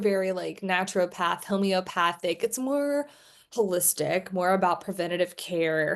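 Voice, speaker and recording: A woman speaks in a normal speaking voice at a moderate pace with lively intonation. The background is quiet. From Texas. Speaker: admissions consultant. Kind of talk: podcast conversation.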